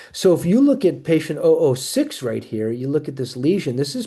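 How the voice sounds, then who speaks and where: Against a quiet background, a man speaks at a fairly high pitch in a dark, mellow tone. His voice is somewhat breathy, with lively intonation. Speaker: naturopathic oncologist. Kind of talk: webinar lecture. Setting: live video webinar. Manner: fast; animated.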